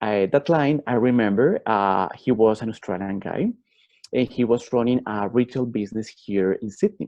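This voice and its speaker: In a Colombian accent, a man talks at a moderate pace. His pitch is medium, with ordinary variation. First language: Spanish. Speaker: MBA student and life coach. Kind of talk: personal testimony talk. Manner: halting, frequent fillers.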